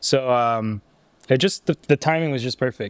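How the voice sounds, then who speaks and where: On a very clean recording with a silent background, a man with an ordinary speaking voice speaks at a moderate pace and medium pitch with fairly even intonation. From Canada, Ottawa. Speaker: streetwear brand founder. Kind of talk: casual interview. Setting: brand's studio.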